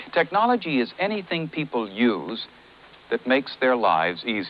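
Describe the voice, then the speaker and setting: Over noticeable background noise, a man's voice moves in very wide pitch swings. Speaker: voice-over narrator; war veteran. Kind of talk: on-screen commercial narration.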